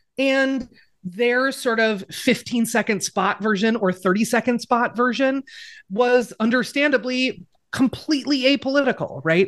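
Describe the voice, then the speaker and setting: Against a quiet background, a woman speaks at a high pitch with ordinary pitch variation and very even loudness. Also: fairly slow pace. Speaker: writer, podcaster and activist. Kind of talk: casual interview chat.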